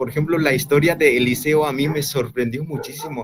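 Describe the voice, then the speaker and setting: The speaker is a man. He talks with an Andean accent. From rural Bolivia. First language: Quechua (speaking Spanish). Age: 20s. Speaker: young evangelist. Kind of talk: interview testimony. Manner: halting, with many fillers.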